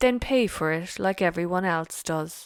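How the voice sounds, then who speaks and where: A gruff, put-on character voice, female-sounding, at a middle pitch and moderate pace, in a very clean recording with a silent background. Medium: read story.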